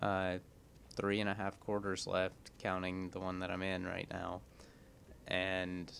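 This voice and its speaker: Moderate pace from a man with a very deep, low pitch and monotone, flat intonation. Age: 20s. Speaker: gaming YouTuber. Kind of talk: gameplay commentary.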